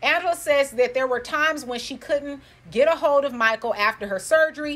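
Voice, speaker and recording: Her pitch high and her intonation lively, a woman speaks. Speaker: YouTube commentator. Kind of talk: casual commentary recap. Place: home room.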